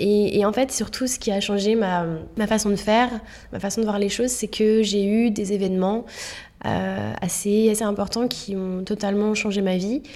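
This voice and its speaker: At a moderate pace, a woman speaks at a medium pitch with monotone, flat intonation. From Paris suburbs, France. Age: 30s. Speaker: spiritual author and yoga teacher. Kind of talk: casual interview. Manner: hesitant, many fillers.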